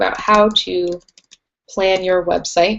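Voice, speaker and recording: A woman speaks in a normal speaking voice of medium pitch. Her intonation stays fairly even. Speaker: webinar host, brand strategist. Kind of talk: webinar presentation. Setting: live online webinar.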